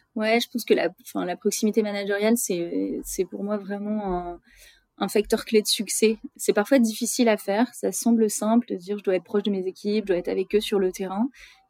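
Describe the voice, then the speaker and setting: Dry and close with no echo, a woman's dark, mellow voice moves at a fairly quick pace and medium pitch with fairly even intonation. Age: 30s. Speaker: retail commercial policy manager. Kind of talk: interview. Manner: halting, many hesitations.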